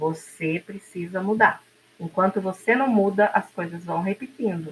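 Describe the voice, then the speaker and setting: A woman speaks at a medium pitch in an ordinary speaking voice. Her pitch varies in an ordinary way. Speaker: podcast co-host. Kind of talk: casual talk show conversation.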